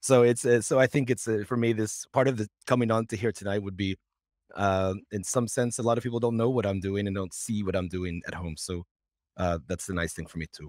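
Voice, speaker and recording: A man with an American accent, fairly low pitch and ordinary pitch variation at a fairly quick pace, against a quiet background in a dry sound with no echo. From Cincinnati, Ohio, US; Ohio. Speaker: English teacher and volunteer subtitler; guest. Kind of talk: casual chat. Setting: video call. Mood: relaxed, friendly. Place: home room. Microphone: headset.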